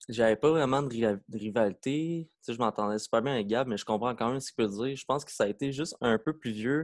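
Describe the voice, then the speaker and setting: The speech comes at a fairly quick pace with ordinary pitch variation, in a very clean recording with a silent background and a dry, close sound with no echo. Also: man. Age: 20s. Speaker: breakdancer. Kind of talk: casual chat.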